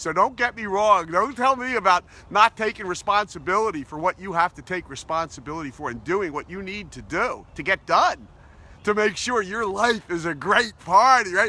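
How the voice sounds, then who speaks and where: A man's raised, projected voice, high in pitch and bright and sharp in tone, with ordinary pitch variation and big swings in loudness. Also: moderate pace. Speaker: positivity coach. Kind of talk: motivational talk to camera. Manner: upbeat, enthusiastic.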